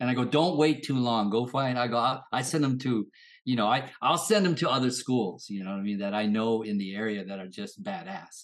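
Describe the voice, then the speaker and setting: A normal speaking voice with lively intonation at a fairly quick pace, over a quiet background. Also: man, medium pitch for a man. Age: 50s. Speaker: martial arts instructor. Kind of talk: casual chat.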